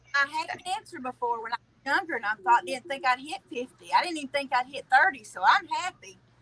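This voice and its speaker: A woman with a Southern US accent speaks in a raised, projected voice with a high pitch and bright, sharp tone, with very wide pitch swings, big swings in loudness and hardly any pauses. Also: fairly quick pace. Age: 40s. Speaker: viewer guest. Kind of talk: casual chat.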